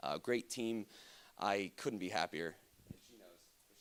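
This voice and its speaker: A man is speaking. His voice has vocal fry. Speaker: conference speaker. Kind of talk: lecture. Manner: fast.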